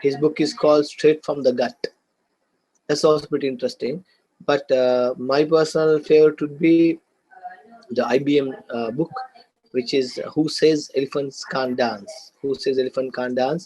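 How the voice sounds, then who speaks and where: Using a Sri Lankan accent, a man speaks at a fairly high pitch with a dark, mellow tone. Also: ordinary pitch variation, moderate pace. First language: Sinhala and Tamil. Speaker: business lecturer. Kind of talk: lecture. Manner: hesitant, many fillers and repeats.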